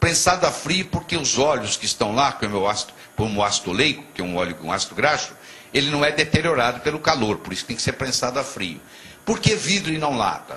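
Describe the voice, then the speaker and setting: Talking at a very fast pace, a man with a fairly high pitch makes very wide pitch swings amid noticeable background noise. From Brazil, Minas Gerais (Juiz de Fora). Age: 60s. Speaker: physician and motivational speaker. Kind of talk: TV interview.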